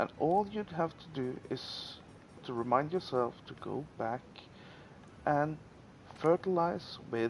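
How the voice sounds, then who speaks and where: Speaking with a non-native accent at a very slow pace, a man leaves long, frequent pauses, using lively intonation and big swings in loudness. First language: not English. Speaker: gaming YouTuber. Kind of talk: gameplay tutorial. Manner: halting, many fillers.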